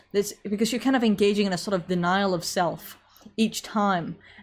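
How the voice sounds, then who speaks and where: A woman speaks with an American accent at a moderate pace. Her voice is somewhat breathy. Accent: English with slight American tinge. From England. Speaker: online commentator. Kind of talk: live social stream with chat. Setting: online livestream. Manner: conversational, informal.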